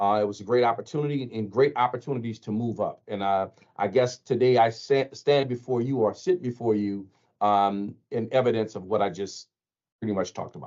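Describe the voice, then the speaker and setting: Talking at a fairly quick pace, a man with a New Orleans accent uses a medium pitch and ordinary pitch variation. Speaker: TV station general manager. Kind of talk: panel discussion.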